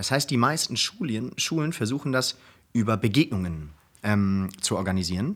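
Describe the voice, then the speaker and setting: This man's medium-pitched voice carries lively intonation and moves at a moderate pace. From Germany (Hamburg, Cologne, Berlin). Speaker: program manager at a foundation, law school alumnus. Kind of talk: casual interview. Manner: halting, many fillers.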